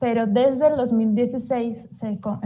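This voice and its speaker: This woman's voice has a dark, mellow tone and is somewhat breathy. Her intonation is fairly even. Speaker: human rights researcher presenting a report. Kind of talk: online report presentation. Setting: livestreamed webinar.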